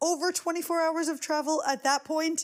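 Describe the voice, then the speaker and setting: On a very clean recording with a silent background, a woman speaks with a New York accent. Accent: New York American. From US, New York. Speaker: podcast host. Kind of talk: casual chat.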